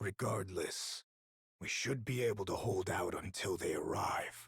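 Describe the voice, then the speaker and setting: Using a put-on character voice, a man growls at a medium pitch with a calm tone and a moderate pace. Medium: video game. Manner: calm, terse.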